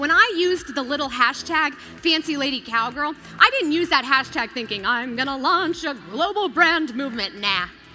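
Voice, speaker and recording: Over music in the background, a woman with an American accent speaks in a raised, projected, high-pitched voice with lively intonation and hardly any pauses. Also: moderate pace. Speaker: keynote speaker and television host. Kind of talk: motivational keynote speech. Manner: earnest, inspirational storytelling.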